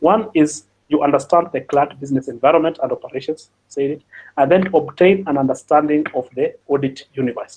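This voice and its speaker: Pitch varies in an ordinary way. The pace is fairly quick. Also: man, fairly high pitch for a man. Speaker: cybersecurity audit expert. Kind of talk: webinar presentation. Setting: online webinar. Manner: fast; halting, many fillers and repetitions.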